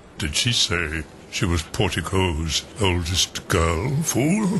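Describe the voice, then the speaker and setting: A man uses a put-on character voice with a very deep, low pitch at a very slow pace. Background noise is clearly audible. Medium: audio drama. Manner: blustering, rambling, forgetful.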